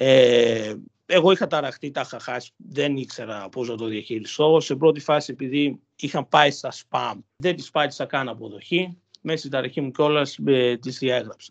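Against a quiet background, a man with an ordinary speaking voice and fairly high pitch talks at a moderate pace, with big swings in loudness. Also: ordinary pitch variation. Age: 20s. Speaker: university student. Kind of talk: personal testimony interview.

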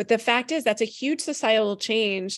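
Against a quiet background, a woman talks at a fairly quick pace in an unremarkable speaking voice. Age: 40s. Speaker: parenting author and media expert. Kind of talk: live podcast interview. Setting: live broadcast at a conference.

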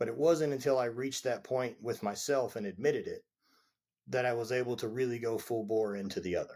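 A man's medium-pitched voice in a Southern US accent, fairly quick and fairly even in intonation, on a very clean recording with a silent background. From Louisiana. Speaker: former athlete. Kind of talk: casual interview.

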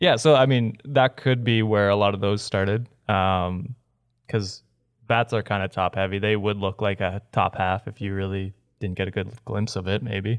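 An ordinary speaking voice from a man, fairly low in pitch, at a moderate pace with fairly even intonation, dry and close with no echo over a quiet background. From Canada. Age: 20s. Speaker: podcast host. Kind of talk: casual chat.

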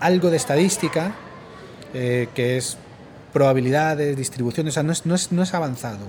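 A man speaks at a fairly quick pace and a fairly high pitch, with lively intonation and long, frequent pauses. Noticeable background noise and audible room echo are present. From Spain. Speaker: university professor. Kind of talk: interview. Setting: recorded at a conference.

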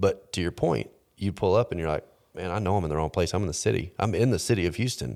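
A man's very deep, low voice at a very fast pace, with lively intonation and vocal fry, on a very clean recording with a silent background. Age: 30s. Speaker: podcast host. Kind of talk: casual chat.

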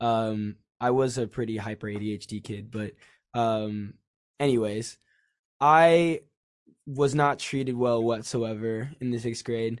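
A man with an American accent speaks fairly slowly at medium pitch, leaving long, frequent pauses. His intonation is fairly even, and the background is quiet. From Los Angeles. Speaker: rock band musician. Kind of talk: casual interview. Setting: video call.

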